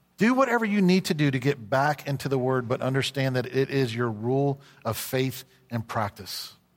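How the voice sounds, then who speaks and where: A man with a Southern US accent speaks at a medium pitch and a moderate pace, with ordinary pitch variation. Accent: Southern American. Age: 50s. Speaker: pastor. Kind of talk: sermon. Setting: church.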